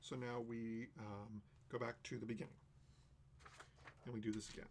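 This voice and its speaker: A man at medium pitch and a fairly quick pace, with noticeable background noise. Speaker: game designer streaming a playtest. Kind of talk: solo live stream playtest narration. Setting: live stream.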